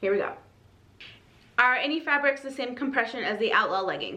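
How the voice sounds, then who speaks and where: A raised, projected voice moves at a fairly quick pace. Audible room echo and noticeable background noise surround it. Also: woman. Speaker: fitness apparel reviewer. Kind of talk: product review video. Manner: casual, filler-heavy.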